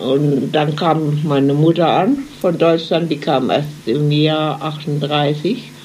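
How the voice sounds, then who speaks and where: This woman has a very deep, low voice. Noticeable background noise and audible room echo surround her. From Germany, Mannheim. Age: 90s. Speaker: emigrant eyewitness. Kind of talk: interview. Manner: halting.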